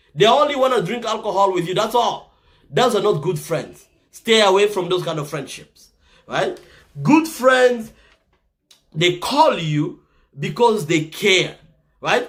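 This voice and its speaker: Speaking with a slight Congolese accent, a man uses a high pitch, lively intonation and an animated tone, moving at a fairly slow pace with long, frequent pauses. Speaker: motivational talk show host. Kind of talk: motivational talk.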